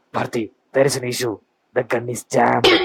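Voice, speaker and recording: Someone performs a raspy, put-on character voice at a very fast pace, with monotone, flat intonation. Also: man, medium pitch for a man. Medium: cartoon. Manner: pleading, mixes English into Tamil.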